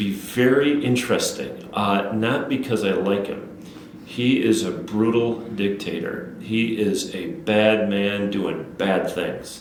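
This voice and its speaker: A speaker with an Upper Midwest accent talks at a very slow pace with ordinary pitch variation. Noticeable background noise is present. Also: man, fairly low pitch for a man. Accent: Upper Midwest American. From Wisconsin, Menominee area. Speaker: city council member. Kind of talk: interview. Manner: halting, many fillers and repeats.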